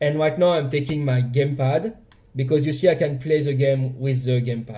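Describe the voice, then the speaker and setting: Somewhat breathy, the voice has a dark, mellow tone and fairly even intonation. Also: man, fairly high pitch for a man. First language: French. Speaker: indie game developer. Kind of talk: casual dev blog talk over gameplay.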